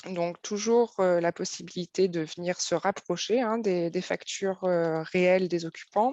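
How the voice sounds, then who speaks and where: A woman's dark, mellow voice at a fairly slow pace, fairly even in intonation, with hardly any pauses. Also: medium pitch for a woman, dry, close sound with no echo. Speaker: software presenter. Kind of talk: live webinar software demo. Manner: hesitant, many fillers.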